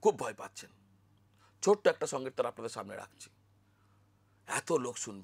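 A man's voice with vocal fry makes very wide pitch swings, the sound dry and close with no echo. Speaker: astrologer. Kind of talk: spiritual talk to camera.

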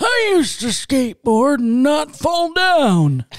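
A woman puts on a strained, high-pitched character voice with big pitch swings. She speaks at a slow pace.

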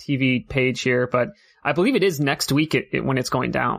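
Bright, sharp tone with an American accent at a moderate pace, on a very clean recording with a silent background. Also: man. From United States. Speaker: tournament organizer and caster. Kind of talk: casual chat.

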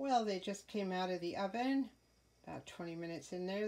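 A woman talks in a dark, mellow tone. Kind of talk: casual tutorial narration. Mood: pleased, relaxed. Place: kitchen. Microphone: phone near.

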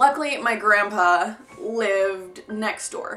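Faint music plays in the background while a woman speaks. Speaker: vlogger. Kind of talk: casual vlog storytelling. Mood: flustered near the end. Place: home room. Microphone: camera far.

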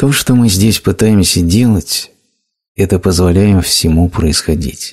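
A man's very deep, low voice, somewhat breathy, at a very slow pace with ordinary pitch variation and very even loudness, on a very clean recording with a silent background. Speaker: voice-over narrator of a translated spiritual talk. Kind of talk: reading aloud a translated spiritual lecture.

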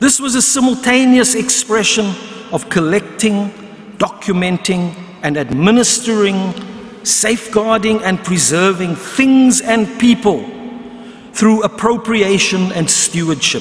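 A man talks at a high pitch with ordinary pitch variation. His pace is fairly slow. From South Africa. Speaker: history professor; speaker. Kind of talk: lecture. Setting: stage with audience. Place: hall. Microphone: podium.

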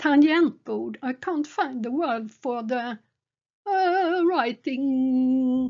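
A high-pitched woman, very slow, with ordinary pitch variation and a Swedish accent. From Sweden. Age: 70s. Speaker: gaming streamer. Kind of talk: narrated photo slideshow. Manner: halting.

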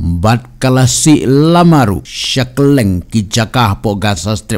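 Lively intonation carries this man's dramatic, animated delivery. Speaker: storyteller. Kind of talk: scripted news-style narration. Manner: dramatic, animated narration with sound-effect mimicry.

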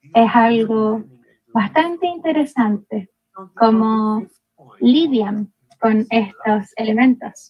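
A woman with a fairly high pitch speaks at a very slow pace. She leaves long, frequent pauses. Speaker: academic presenter; presenter. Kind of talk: conference presentation. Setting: video call. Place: home room. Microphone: video call.

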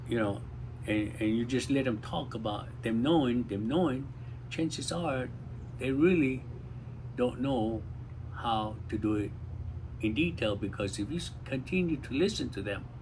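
A man talks with vocal fry and long, frequent pauses. Light background noise can be heard. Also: ordinary pitch variation, moderate pace. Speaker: community talk host. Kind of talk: casual talk, advice. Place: garden. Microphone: phone near.

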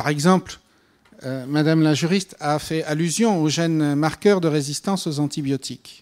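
A man with a fairly high voice speaks at a moderate pace and fairly even intonation against a quiet background. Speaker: panel speaker on GMO regulation; speaker. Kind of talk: panel discussion answer. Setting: conference hall with audience. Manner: hesitant with fillers. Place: hall. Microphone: handheld.

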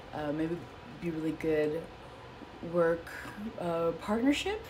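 With an American accent, a woman speaks fairly slowly at a fairly low pitch over noticeable background noise. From US Midwest, Chicago. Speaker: psychic entertainer. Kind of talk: casual horoscope talk. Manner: hesitant, many fillers. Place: home room. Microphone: phone near.

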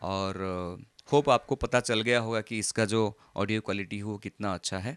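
A man with a plain, everyday voice speaks at a fairly low pitch with fairly even intonation, in a dry sound with no echo against a quiet background. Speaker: tech reviewer. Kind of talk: product review demo. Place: home room. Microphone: handheld.

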